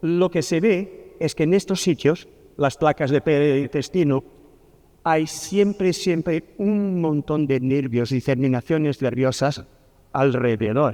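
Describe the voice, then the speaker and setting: A man's very slow, fairly high voice with a dark, mellow tone, ordinary pitch variation and a Portuguese accent. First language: Portuguese (speaking Spanish). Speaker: pharmacy professor. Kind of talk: lecture. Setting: conference talk.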